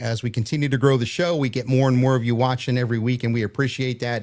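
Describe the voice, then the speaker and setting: A man speaks at a very fast pace with monotone, flat intonation. The recording is very clean, with a silent background. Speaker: podcast host. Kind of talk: live show casual chat.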